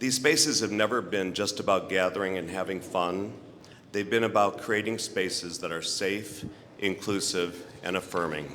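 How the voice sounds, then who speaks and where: At a moderate pace, a man with a fairly low pitch and ordinary pitch variation speaks in a plain, everyday voice. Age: 60s. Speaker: honoree, LGBTQ bar owner and festival chairperson. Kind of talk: award acceptance speech.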